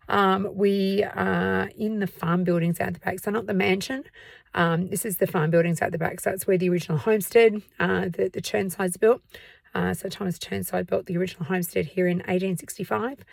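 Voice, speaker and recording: In an Australian accent, a woman talks at a fairly quick pace with a medium pitch and ordinary pitch variation. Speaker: museum tour guide and history vlogger. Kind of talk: casual vlog talk to camera. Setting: outdoors at night. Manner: hesitant, many fillers.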